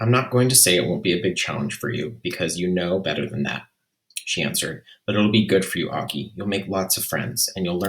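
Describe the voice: The background stays quiet. The delivery is plain reading aloud, and the pitch varies in an ordinary way.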